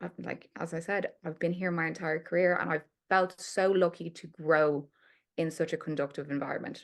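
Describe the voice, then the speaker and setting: An ordinary speaking voice: a woman at a fairly low pitch and a moderate pace. Her intonation is fairly even against a quiet background. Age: 20s. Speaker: PR account director. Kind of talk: podcast interview.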